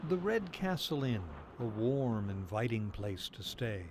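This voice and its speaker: A somewhat breathy voice at a fairly slow pace, with very wide pitch swings. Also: man, medium pitch for a man. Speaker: TV news reporter. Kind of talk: TV news feature narration.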